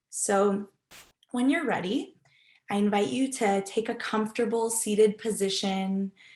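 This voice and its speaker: Recorded very cleanly against a silent background, a normal speaking voice moves at a fairly slow pace with ordinary pitch variation. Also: woman. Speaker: research assistant and meditation instructor. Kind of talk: guided meditation.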